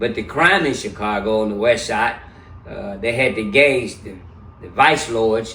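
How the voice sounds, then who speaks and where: Room echo can be heard. The talking is fairly slow. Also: man. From US South (Memphis, Tennessee). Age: 70s. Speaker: interview guest. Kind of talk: casual interview.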